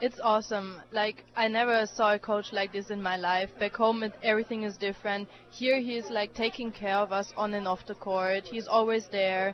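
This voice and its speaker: With a German accent, a woman speaks at a moderate pace and medium pitch in monotone, flat intonation with hardly any pauses. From Germany. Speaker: college tennis player. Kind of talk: radio interview. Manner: hesitant, many fillers.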